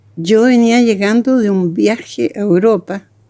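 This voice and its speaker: Dark and mellow in tone, the voice moves at a fairly slow pace with lively intonation and a dry, close sound with no echo. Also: woman. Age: 80s+. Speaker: actress and theatre director. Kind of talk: testimony. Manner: halting.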